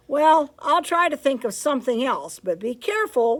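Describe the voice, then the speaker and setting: A woman performs a put-on character voice. Her pitch is high and swings very widely. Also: moderate pace. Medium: read story.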